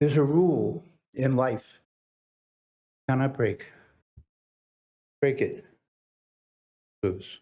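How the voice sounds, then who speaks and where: The voice has a dark, mellow tone with vocal fry, ordinary pitch variation and very even loudness. It moves at a very slow pace with long, frequent pauses. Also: man, fairly high pitch for a man. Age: 80s+. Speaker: public commenter. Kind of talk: public comment at council meeting. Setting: city council meeting.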